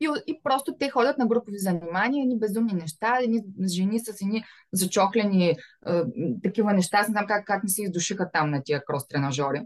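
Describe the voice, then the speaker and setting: A woman's voice at a medium pitch. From Bulgaria, Varna. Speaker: fashion business owner. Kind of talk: interview.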